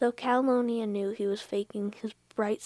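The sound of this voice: Unforced reading, with fairly even intonation.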